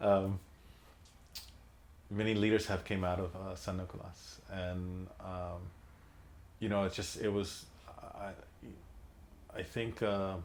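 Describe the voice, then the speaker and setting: With a Filipino accent, a man speaks in a very deep, low pitch and a monotone, flat intonation at a fairly slow pace. Long, frequent pauses break up his speech, and room echo is audible. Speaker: son of a labor leader, oral history interviewee. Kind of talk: oral history interview. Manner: halting, many fillers and repetitions.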